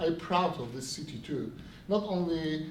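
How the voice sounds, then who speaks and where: With a Polish accent, the speaker talks at a fairly slow pace with ordinary pitch variation, amid noticeable background noise and audible room echo. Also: man. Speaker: city official. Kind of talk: event speech. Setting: stage with audience. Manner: halting.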